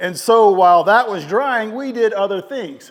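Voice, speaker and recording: A man speaking with ordinary pitch variation. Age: 60s. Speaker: home builder and video host. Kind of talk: DIY build vlog narration. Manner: fast.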